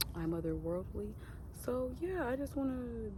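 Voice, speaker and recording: Audible room echo follows a woman as she speaks. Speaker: vlogger. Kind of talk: casual vlog monologue. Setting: outdoors in nature. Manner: loud.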